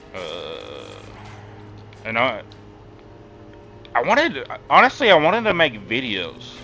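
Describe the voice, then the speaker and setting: A man speaking fairly slowly with long, frequent pauses and big swings in loudness, music in the background. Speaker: gaming streamer. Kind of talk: casual live-stream chat. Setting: live stream. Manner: halting, repeats words.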